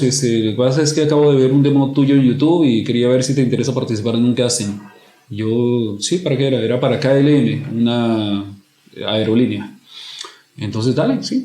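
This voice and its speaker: Over noticeable background noise, a man at medium pitch speaks at a moderate pace with ordinary pitch variation. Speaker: commercial voice-over announcer. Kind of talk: podcast interview answer.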